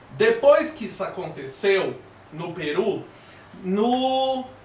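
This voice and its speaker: The speaker's animated tone has very wide pitch swings, with noticeable background noise and audible room echo. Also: man. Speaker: history teacher. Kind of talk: online lesson (live class). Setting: live stream.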